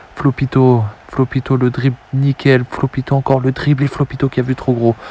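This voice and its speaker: Soft-spoken and calm, a man talks at a moderate pace and medium pitch in a flat monotone, his loudness very even and the sound dry and close with no echo. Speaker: video game football commentator. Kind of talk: live commentary. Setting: at home, late at night. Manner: soft-spoken, calm.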